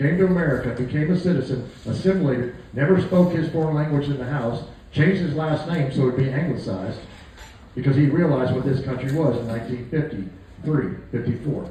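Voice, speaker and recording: Recorded with audible room echo and noticeable background noise, a man talks at a fairly quick pace and a fairly high pitch, with ordinary pitch variation. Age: 60s. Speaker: political candidate and war veteran. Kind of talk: campaign speech with testimony. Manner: folksy, conversational.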